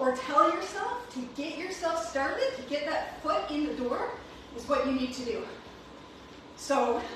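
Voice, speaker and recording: A woman speaks at a moderate pace in a high pitch, with strong room echo and noticeable background noise. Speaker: fitness coach. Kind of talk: workout class instruction. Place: gym. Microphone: camera far.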